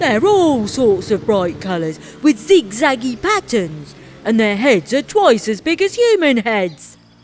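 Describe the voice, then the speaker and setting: Putting on a character voice, a woman talks fairly slowly at a fairly high pitch. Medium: read story. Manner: puzzled, complaining.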